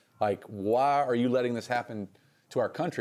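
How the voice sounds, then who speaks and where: A man with a Southern US accent at a fairly quick pace, fairly even in intonation, in a very clean recording with a silent background. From North Carolina (Reidsville). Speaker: singer-songwriter. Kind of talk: casual interview.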